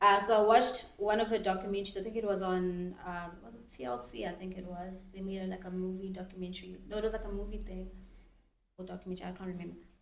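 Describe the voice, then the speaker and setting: Delivered at a very fast pace with fairly even intonation, the speech has big swings in loudness and audible room echo. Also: woman, medium pitch for a woman. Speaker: influencer. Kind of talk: podcast interview.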